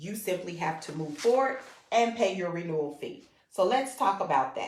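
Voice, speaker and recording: A woman's fairly low-pitched voice with lively intonation and audible room echo. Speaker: real estate school enrollment manager. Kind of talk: instructional livestream talk.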